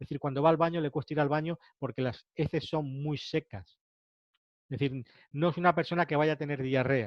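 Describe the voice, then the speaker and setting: At a fairly quick pace, a man with a fairly high pitch talks with fairly even intonation. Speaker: ayurveda teacher. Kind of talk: lecture. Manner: fast.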